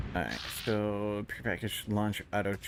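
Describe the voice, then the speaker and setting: A man with a Midwestern accent speaks at a fairly low pitch on a very clean recording with a silent background. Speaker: video game streamer. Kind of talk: live gaming stream commentary.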